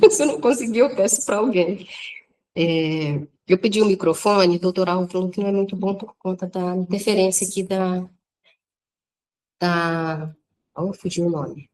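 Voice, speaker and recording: The voice has a dark, mellow tone and a moderate pace, with ordinary pitch variation. Long, frequent pauses break up the speech. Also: woman. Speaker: spiritist lecturer. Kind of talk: lecture.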